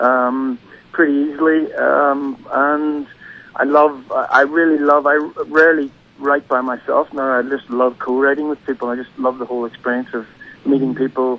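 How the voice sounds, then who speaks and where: Someone with an Irish accent talks at a moderate pace in a monotone, flat intonation. Noticeable background noise is present. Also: man, fairly high pitch for a man. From Northern Ireland, County Derry. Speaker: singer-songwriter. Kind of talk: radio interview. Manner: hesitant, many fillers.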